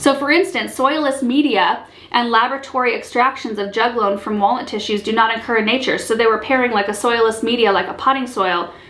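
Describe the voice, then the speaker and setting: A woman talks at a fairly quick pace with hardly any pauses, using a fairly high pitch and ordinary pitch variation. Noticeable background noise can be heard. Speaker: gardening channel host. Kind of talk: casual talk to camera. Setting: camera mic with slight echo.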